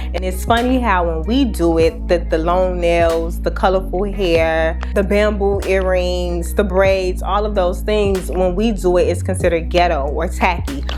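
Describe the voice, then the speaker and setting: With music in the background, a woman with a very deep, low pitch speaks at a fairly slow pace, with fairly even intonation and hardly any pauses. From Chicago. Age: 20s. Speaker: beauty YouTuber. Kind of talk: casual talk to camera.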